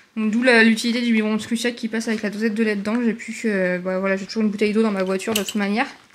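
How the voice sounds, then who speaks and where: A woman's very fast, monotone delivery at fairly high pitch, hardly any pauses, over noticeable background noise. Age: 30s. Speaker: vlogger, new mother. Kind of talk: casual vlog. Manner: chatty, hesitant fillers.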